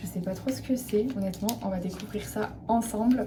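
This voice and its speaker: A normal speaking voice from a woman, medium in pitch with ordinary pitch variation, at a fairly slow pace. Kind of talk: casual talk to camera, vlog with skincare routine. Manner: relaxed, chatty, soft.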